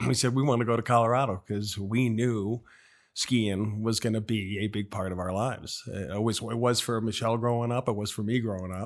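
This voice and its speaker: A man with a normal speaking voice talks at a fairly quick pace, medium in pitch and fairly even in intonation. The recording is very clean, with a silent background. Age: 60s. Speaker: gym member and business owner. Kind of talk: casual interview.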